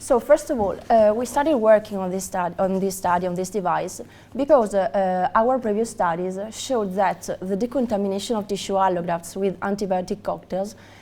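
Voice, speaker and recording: A woman with an Italian accent talks at a fairly quick pace in a dark, mellow tone at medium pitch, with ordinary pitch variation. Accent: Italian accent, non-native English. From Italy. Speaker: research scientist at a medical device company. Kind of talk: conference presentation. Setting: conference hall with audience. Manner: halting, many fillers.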